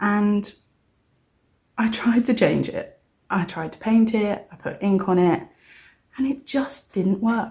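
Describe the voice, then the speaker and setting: With a British accent, a soft-spoken woman talks very slowly at a medium pitch in a dark, mellow, somewhat breathy tone, using ordinary pitch variation and long, frequent pauses. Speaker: cash budgeting vlogger. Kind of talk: casual vlog. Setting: at home, early morning. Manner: quiet, soft-spoken.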